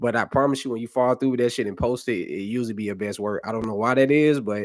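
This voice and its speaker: A man speaks with a normal speaking voice, medium in pitch with ordinary variation. The recording is very clean, with a silent background. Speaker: YouTuber. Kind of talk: live stream Q&A. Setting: live stream on camera. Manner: casual, relaxed.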